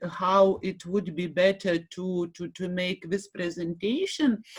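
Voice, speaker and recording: A woman with a Lithuanian accent speaks at a medium pitch. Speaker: university lecturer and association director. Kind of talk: conference presentation. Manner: halting, many fillers and repetitions.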